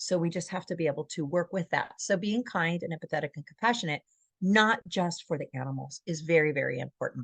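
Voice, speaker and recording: The woman talks at a very fast pace in a fairly low, somewhat breathy voice. The sound is dry and close with no echo, over a quiet background. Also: ordinary pitch variation. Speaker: dog trainer. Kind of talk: webinar presentation. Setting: live webinar.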